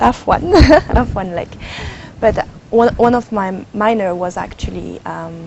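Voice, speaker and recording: A woman with a French accent, fairly slow pace and long, frequent pauses, against noticeable background noise. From France, Cambodian parents. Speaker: climate change consultant and professor. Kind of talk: TV interview. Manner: hesitant, with fillers.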